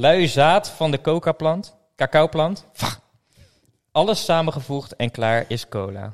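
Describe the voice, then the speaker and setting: Speaking very slowly with long, frequent pauses, a man talks at a fairly high pitch. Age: 30s. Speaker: podcast host. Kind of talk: casual chat.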